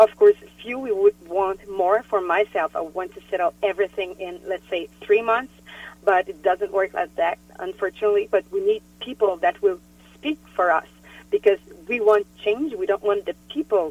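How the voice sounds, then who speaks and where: At a moderate pace, a woman speaks in a French-Canadian accent at a medium pitch. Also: ordinary pitch variation. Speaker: politician. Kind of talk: interview. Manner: halting.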